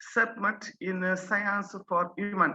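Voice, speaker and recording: A woman's medium-pitched voice with a bright, sharp tone at a very slow pace. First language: French. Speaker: science education inspector. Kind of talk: conference presentation. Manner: halting.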